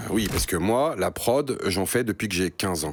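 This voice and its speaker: Vocal fry from a man at a moderate pace, in a very clean recording with a silent background. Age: 40s. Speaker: beatmaker. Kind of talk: casual vlog.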